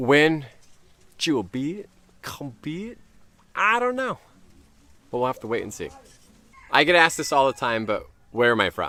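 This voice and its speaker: A man with a Californian accent speaks in a bright, sharp tone at a fairly high pitch with very wide pitch swings. Long, frequent pauses break up his speech. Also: moderate pace. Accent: Californian American English. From US West Coast, Orange County, California. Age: 30s. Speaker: YouTuber. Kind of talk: casual Q&A to camera. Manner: casual, chatty with fillers.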